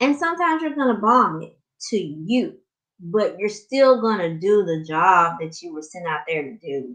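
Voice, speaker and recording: Speaking at a moderate pace in a strong Southern US accent, a woman of medium pitch shows very wide pitch swings and big swings in loudness. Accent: heavy Southern US. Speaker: life coach. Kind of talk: live stream coaching talk. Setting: live stream. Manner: slightly muffled; casual, conversational.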